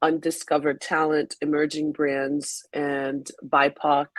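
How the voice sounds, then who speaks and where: Very slow and very deep, this woman's voice is low in pitch and comes in a French accent. The sound is dry and close, with no echo. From Haiti. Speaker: magazine founder and editor. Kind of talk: webinar interview. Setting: online webinar.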